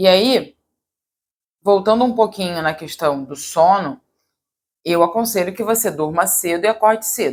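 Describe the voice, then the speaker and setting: At a medium pitch, a woman talks at a moderate speed, her pitch varying in an ordinary way. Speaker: yoga teacher and wellness youtuber. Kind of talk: casual advice monologue. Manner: direct.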